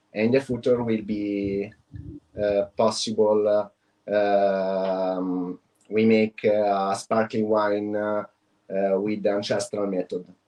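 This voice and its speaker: Speaking very slowly with an Italian accent, a man keeps a fairly low pitch in a monotone, flat intonation. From Italy (Tuscany). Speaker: wine producer, export manager. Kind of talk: business presentation. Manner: halting, many fillers.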